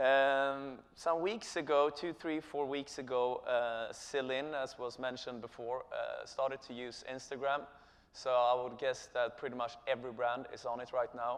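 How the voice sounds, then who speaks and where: With a Swedish accent, a man speaks at a medium pitch with fairly even intonation and hardly any pauses. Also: moderate pace. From Sweden. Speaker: company co-founder and chief executive. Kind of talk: conference presentation. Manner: halting, many filler sounds.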